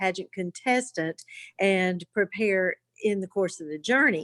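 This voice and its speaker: A woman talks with a normal speaking voice at a moderate pace. Her pitch is medium, with ordinary pitch variation. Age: 60s. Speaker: senior pageant queen. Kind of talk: talk show interview.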